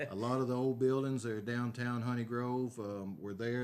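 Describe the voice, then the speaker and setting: At a fairly quick pace, a man with a Texan accent speaks at a medium pitch with fairly even intonation. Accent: Texan Southern American. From Northeast Texas. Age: 60s. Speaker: city council candidate and aerial applicator. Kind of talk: interview. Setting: at home.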